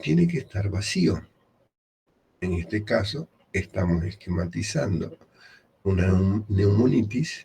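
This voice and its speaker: Quiet and very slow, a man speaks with a dark, mellow tone. His fairly low pitch has ordinary variation. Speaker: medical lecturer. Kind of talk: lecture.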